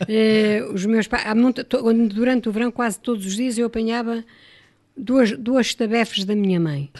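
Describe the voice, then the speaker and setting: At a moderate pace, a woman talks in a normal speaking voice, fairly high in pitch with ordinary variation. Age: 60s. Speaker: radio guest reminiscing. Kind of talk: radio interview, personal reminiscence.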